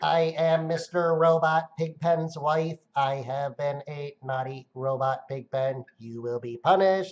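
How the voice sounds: The speaker uses a put-on character voice at a low-to-middle pitch. The pace is fairly slow, with hardly any pauses.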